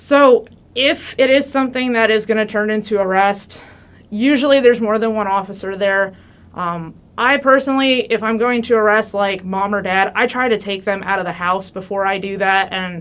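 A woman with an American accent has an ordinary speaking voice, fairly high in pitch, with ordinary pitch variation and a moderate pace. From New Jersey. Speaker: police officer. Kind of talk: interview. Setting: studio.

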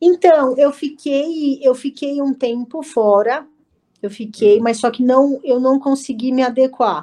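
Pitched high, a woman speaks at a fairly slow pace in a dark, mellow tone with ordinary pitch variation. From Brazil, São Paulo ABC region (Santo André). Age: 30s. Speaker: jiu-jitsu athlete and instructor. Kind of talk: casual interview.

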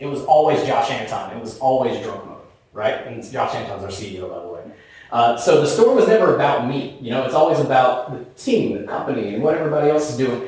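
A man with an American accent talks very fast at a medium pitch, with ordinary pitch variation and big swings in loudness. Room echo can be heard, along with noticeable background noise. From US South. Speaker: marketing executive. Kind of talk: conference presentation. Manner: casual, conversational.

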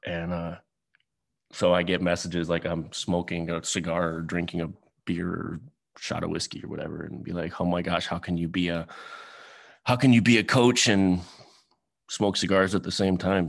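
Against a quiet background, a man speaks with a very deep, low pitch and fairly even intonation. His pace is moderate, broken by long, frequent pauses. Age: 40s. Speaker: podcast host, former pastor. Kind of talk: personal monologue. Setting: solo video recording. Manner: halting, many fillers and restarts.

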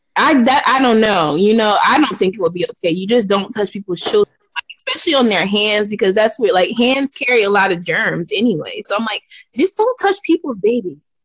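In an ordinary speaking voice, a woman talks at a fairly quick pace with fairly high pitch and lively intonation, the sound dry and close with no echo. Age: 20s. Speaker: podcast host. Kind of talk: casual chat.

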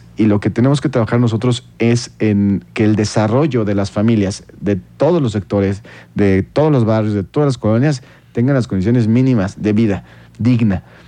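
A man speaks at a moderate pace in a fairly low pitch with a dark, mellow tone, ordinary pitch variation, and very even loudness. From Mexico, Querétaro. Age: 30s. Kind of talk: radio interview.

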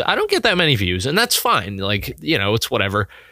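Bright, sharp tone from a man, pitched in the medium range. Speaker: solo podcaster. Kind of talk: casual solo podcast monologue. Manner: casual, laughing.

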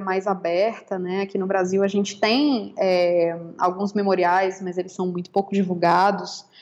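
This woman has a normal speaking voice, medium in pitch, and talks at a moderate pace. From Brazil. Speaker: law professor and researcher. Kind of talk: interview.

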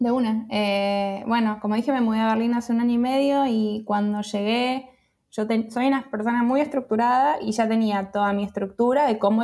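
Dark and mellow in tone, this voice keeps a moderate pace and fairly even intonation. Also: woman. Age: 30s. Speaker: freelance creative, community founder. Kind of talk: interview. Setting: remote call.

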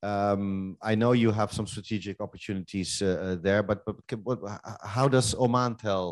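A man with an ordinary speaking voice and fairly low pitch talks at a moderate pace with fairly even intonation. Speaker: panel moderator. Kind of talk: live panel moderation. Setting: live conference stage with audience.

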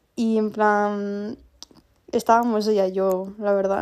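The speaker is a woman with a fairly high pitch. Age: 20s. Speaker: podcaster, university student. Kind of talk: casual personal monologue. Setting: at home. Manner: chatty, filler-heavy.

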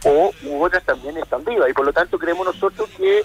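Recorded with a dry, close sound and no echo, a man talks at a fairly quick pace amid noticeable background noise. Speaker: lawyer. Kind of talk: radio interview.

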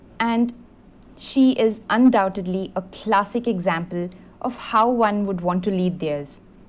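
A woman with an unremarkable speaking voice talks in a medium pitch with ordinary pitch variation. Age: young. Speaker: fan contributor. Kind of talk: prepared birthday tribute monologue.

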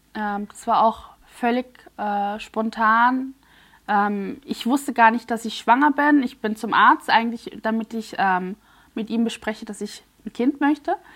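In a very clean recording with a silent background, a woman with an ordinary speaking voice talks at a fairly slow pace and a fairly high pitch, with ordinary pitch variation and big swings in loudness. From Switzerland, near Basel. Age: 30s. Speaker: influencer and mother. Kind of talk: personal testimony.

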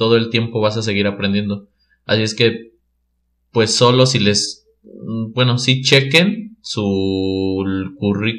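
A man speaks very slowly at a medium pitch. His intonation is fairly even, with long, frequent pauses. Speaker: mechatronics engineer. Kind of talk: casual interview chat.

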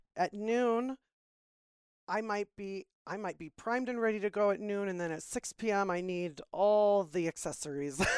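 In an unremarkable speaking voice, a woman with an American accent talks at a medium pitch and a moderate pace with ordinary pitch variation, the recording very clean with a silent background and a dry, close sound with no echo. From Florida. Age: 40s. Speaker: podcast guest. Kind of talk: casual chat.

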